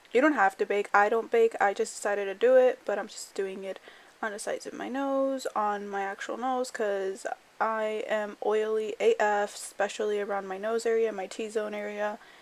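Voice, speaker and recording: Here is an unremarkable speaking voice: a woman, fairly high-pitched, with fairly even intonation. Her loudness swings a lot while she holds a moderate pace. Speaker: beauty vlogger. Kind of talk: voiceover tutorial. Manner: casual, filler-heavy.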